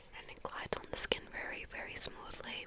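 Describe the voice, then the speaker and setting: A woman is whispering at a moderate pace with noticeable background noise behind her. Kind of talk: ASMR skincare routine. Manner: whispered; soft-spoken.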